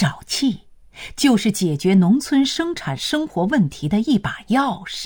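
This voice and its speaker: A somewhat breathy woman's voice at medium pitch, with very wide pitch swings and a very slow pace. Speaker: narrator. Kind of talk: history documentary narration. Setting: studio. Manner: formal, even and authoritative; clear, steady, broadcast-style delivery.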